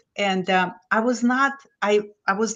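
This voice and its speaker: In a Lithuanian accent, a woman speaks at a medium pitch with fairly even intonation. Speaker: business guest, former finance executive. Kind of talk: casual chat.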